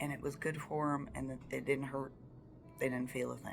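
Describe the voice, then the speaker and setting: This speaker uses an Appalachian accent and keeps a moderate pace. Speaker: storyteller. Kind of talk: casual storytime monologue. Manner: casual, many fillers.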